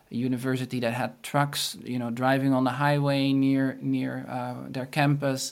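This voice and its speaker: The speaker has a Dutch accent, fairly even intonation and a fairly slow pace. The recording is very clean, with a silent background. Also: man. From Netherlands. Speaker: marketing consultant. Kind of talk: interview. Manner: halting.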